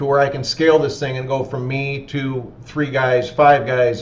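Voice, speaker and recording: With a fairly high pitch, a man talks at a fairly quick pace in a monotone, flat intonation, amid noticeable background noise and audible room echo. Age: 50s. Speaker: roofing company owner. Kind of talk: webinar Q&A.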